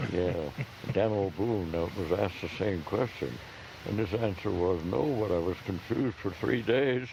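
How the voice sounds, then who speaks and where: Over noticeable background noise, a man talks at a moderate pace with very even loudness. His fairly low voice has lively intonation. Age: 80s+. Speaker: park ranger. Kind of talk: outdoor ranger talk answering audience questions. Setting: outdoors.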